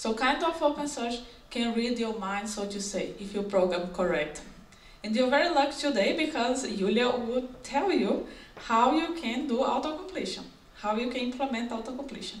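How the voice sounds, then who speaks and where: A woman with a non-native accent, high-pitched, with lively intonation at a moderate pace, amid noticeable background noise and audible room echo. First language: not English. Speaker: software engineer. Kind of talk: conference talk. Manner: halting.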